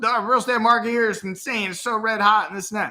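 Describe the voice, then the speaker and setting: With a bright, sharp tone, a man talks in a raised, projected voice. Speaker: real estate YouTuber. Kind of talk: casual talking-head commentary. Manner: casual, filler-heavy.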